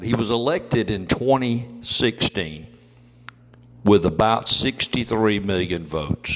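With an Alabama accent, a man speaks in a fairly low voice with ordinary pitch variation. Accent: Southern US (Alabama). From US South. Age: 50s. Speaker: podcast host. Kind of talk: political commentary.

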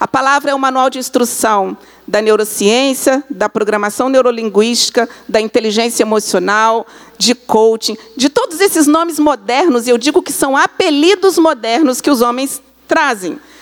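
A moderate pace and lively intonation, noticeable background noise behind. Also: woman, high pitch for a woman. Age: 50s. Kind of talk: church talk.

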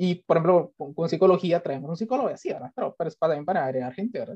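Dark, mellow tone, recorded dry and close without any echo. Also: man. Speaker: podcast host. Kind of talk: casual chat.

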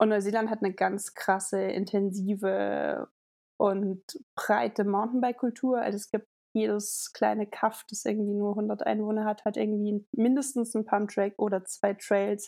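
A woman speaks with a dark, mellow tone and monotone, flat intonation. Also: medium pitch for a woman, moderate pace, very clean recording, silent background. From Germany, Hesse (Linsengericht). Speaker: mountain bike advocate and event PR. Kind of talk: casual interview.

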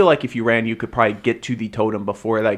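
The recording presents a natural reading voice.

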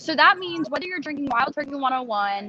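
A woman's high-pitched voice is raised and projected. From Nashville, Tennessee. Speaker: bourbon brand ambassador. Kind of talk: casual interview.

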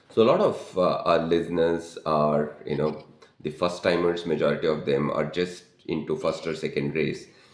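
The speech comes at a moderate pace. Room echo is audible. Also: man. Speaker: podcast host and life coach. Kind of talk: casual interview.

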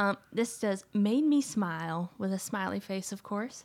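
Talking at a fairly slow pace with ordinary pitch variation, a woman has a plain, everyday voice. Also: very clean recording, silent background. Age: 20s. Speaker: podcast co-host. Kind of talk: casual chat.

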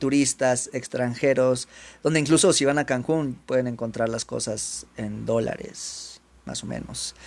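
A man with a Mexican accent, medium pitch, ordinary pitch variation, big swings in loudness and a fairly slow pace. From Mexico. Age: 30s. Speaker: language teacher. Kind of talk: educational monologue for Spanish learners.

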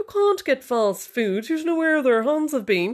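A woman puts on a character voice pitched high. Her pitch swings very widely. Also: moderate pace. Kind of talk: posh, upper-class.

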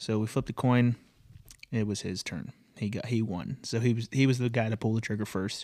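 A man speaks fairly quickly in an ordinary speaking voice, his medium pitch carried on fairly even intonation. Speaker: podcast host, hunter. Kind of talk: hunting story telling.

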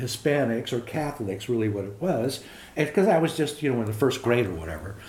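With audible room echo, a somewhat breathy man speaks with very wide pitch swings. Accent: American. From East Los Angeles, California. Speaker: grandfather interviewed about life and heritage. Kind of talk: casual interview, storytelling. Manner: talkative.

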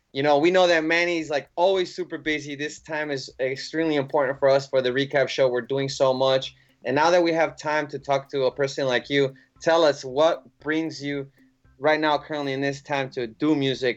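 An ordinary speaking voice from a man with an American accent, fairly high in pitch, with fairly even intonation at a moderate pace. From Chicago. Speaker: podcast co-host. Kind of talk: casual interview.

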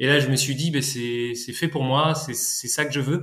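With fairly even intonation, the voice carries a bright, sharp tone. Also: man. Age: 30s. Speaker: market gardener and orchard farmer. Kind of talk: interview testimony. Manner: halting, many hesitations.

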